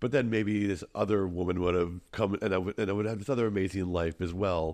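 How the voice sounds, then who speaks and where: With an American accent, the speaker talks at a very fast pace in fairly even intonation against a quiet background. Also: man, very deep, low pitch for a man. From Minnesota, US. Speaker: tour guide and content creator. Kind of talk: podcast interview. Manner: hesitant with fillers.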